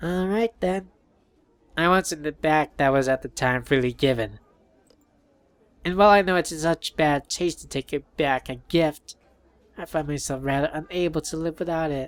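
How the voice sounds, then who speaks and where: A man puts on a character voice at a fairly high pitch. His pace is moderate, broken by long, frequent pauses. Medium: game stream. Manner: mocking, spiteful.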